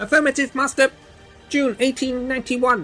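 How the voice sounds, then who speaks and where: A put-on character voice at a high pitch moves at a moderate pace, with faint music in the background. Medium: audio drama. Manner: formal, precise.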